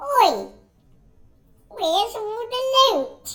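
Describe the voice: A squeaky put-on character voice speaks at an extremely high pitch.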